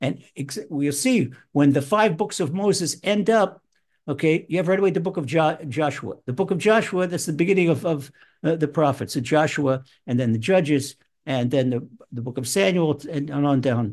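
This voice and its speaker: Over a quiet background, a plain, everyday voice speaks at a moderate pace. The intonation is lively. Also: man, fairly high pitch for a man. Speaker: rabbi and Torah teacher. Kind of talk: online Torah lecture. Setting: live online video presentation.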